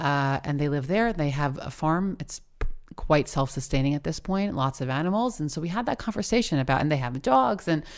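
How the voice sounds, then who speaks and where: In a very clean recording with a silent background, a woman with an American accent speaks at a very fast pace in a very deep, low pitch. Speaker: podcast host. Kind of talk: conversational interview.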